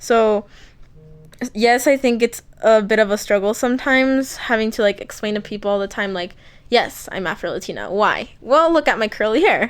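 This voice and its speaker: Speaking at a moderate pace, a woman uses a fairly high pitch and ordinary pitch variation. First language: Spanish. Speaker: interviewee, college student. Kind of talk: casual interview.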